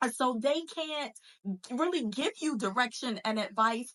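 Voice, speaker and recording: A woman speaks with a normal speaking voice at a fairly slow pace. Her intonation is lively. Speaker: faith-based entrepreneur coach and podcast host. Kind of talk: motivational podcast monologue. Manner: casual, conversational with fillers.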